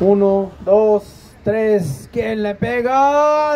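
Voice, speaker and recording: A man with a high pitch talks at a very slow pace. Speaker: football match commentator. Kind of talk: live sports commentary.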